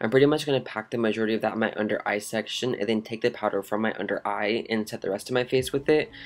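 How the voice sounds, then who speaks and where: A man's upbeat, very fast delivery at a medium pitch, hardly any pauses, on a very clean recording with a silent background. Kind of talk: makeup tutorial voice-over. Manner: upbeat, casual.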